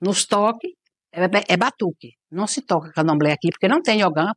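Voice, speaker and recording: A woman speaks at a moderate pace with lively intonation. The sound is dry and close with no echo, over a quiet background. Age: 60s. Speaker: Candomblé/Umbanda priestess (mãe de santo). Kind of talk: documentary interview. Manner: halting, with frequent repetitions.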